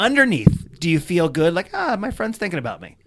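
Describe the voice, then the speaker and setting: Talking at a very fast pace, a man with an American accent uses a high pitch and very wide pitch swings. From US Mid-Atlantic, Potomac, Maryland. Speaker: stand-up comedian. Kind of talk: casual chat. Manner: animated.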